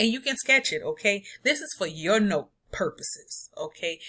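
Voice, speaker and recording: A woman's fairly high, bright and sharp voice at a moderate pace, in a very clean recording with a silent background. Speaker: math teacher. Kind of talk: recorded lesson.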